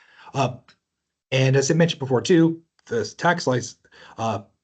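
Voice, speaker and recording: This man's voice sits at a fairly high pitch and sounds somewhat breathy. He speaks at a fairly quick pace with ordinary pitch variation. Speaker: tax seminar presenter. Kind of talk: webinar lecture. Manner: fast.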